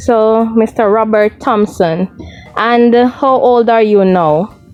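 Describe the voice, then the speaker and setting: With music in the background, a woman speaks very slowly at a fairly high pitch, her loudness very even and her pitch varying in an ordinary way. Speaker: video blogger interviewer. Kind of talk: casual interview.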